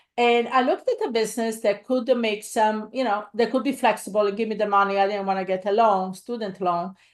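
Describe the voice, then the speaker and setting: With a quiet background behind her, a woman speaks at a fairly quick pace and with fairly even intonation. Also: fairly high pitch for a woman, hardly any pauses. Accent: Italian. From Italy. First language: Italian. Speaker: real estate investor and coach. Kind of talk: live webinar presentation. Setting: livestream. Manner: halting, many fillers.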